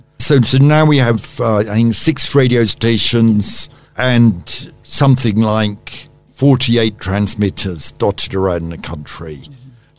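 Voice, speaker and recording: A man with a British accent at medium pitch, fairly slow yet with hardly any pauses, lively intonation and big swings in loudness. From born in Tanzania to a British colonial family, raised in Uganda. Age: 70s. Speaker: media executive and former journalist. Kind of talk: radio interview. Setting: studio.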